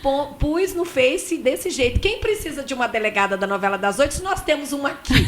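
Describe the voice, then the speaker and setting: The speaker rushes along at a fairly quick pace with hardly any pauses, and the pitch swings very widely. Noticeable background noise runs underneath. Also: woman, high pitch for a woman. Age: 50s. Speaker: radio co-host. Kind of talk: casual chat. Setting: studio.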